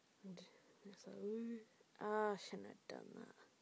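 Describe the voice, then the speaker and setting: Soft-spoken, a woman talks with an English accent. The sound is dry, with no echo. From England. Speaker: video diarist. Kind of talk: video diary. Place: home room. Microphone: webcam.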